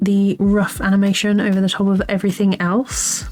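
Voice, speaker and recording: There is music in the background. A woman's voice sits at a medium pitch over it. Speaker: animator. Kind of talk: software tutorial walkthrough.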